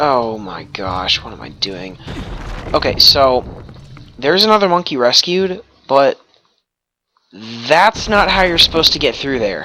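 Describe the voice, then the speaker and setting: A man talks at a fairly slow pace, his pitch swinging very widely. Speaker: let's play gamer. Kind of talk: gameplay commentary. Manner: loud.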